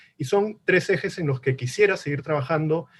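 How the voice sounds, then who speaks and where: Moderate pace and ordinary pitch variation in a somewhat breathy voice. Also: man. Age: 40s. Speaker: politician. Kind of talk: political debate. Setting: virtual debate.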